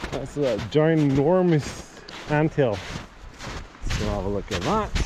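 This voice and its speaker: Over noticeable background noise and audible room echo, a man speaks very slowly at a fairly high pitch with very wide pitch swings. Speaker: outdoor vlogger / streamer. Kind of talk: casual livestream narration while hiking. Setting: outdoors in forest on a hike. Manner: loud.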